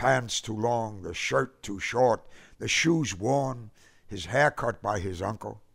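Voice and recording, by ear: The passage is read aloud in a natural voice.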